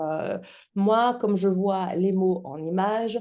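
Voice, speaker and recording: Speaking in a Belgian accent, a woman uses lively intonation at a medium pitch with a dark, mellow tone. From Belgium. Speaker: public speaking trainer and actress. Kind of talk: podcast interview.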